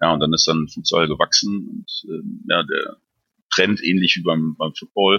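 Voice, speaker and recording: Speaking at a moderate pace with long, frequent pauses, a man is heard in a dry, close recording with no echo. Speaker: head of a futsal club department. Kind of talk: interview.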